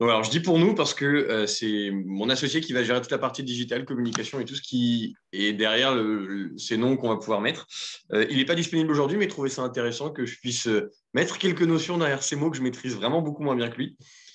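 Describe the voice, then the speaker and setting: At a very fast pace, a man of medium pitch speaks with lively intonation over a quiet background. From Aisne, northern France. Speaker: entrepreneur. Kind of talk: workshop introduction round. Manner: hesitant, many fillers.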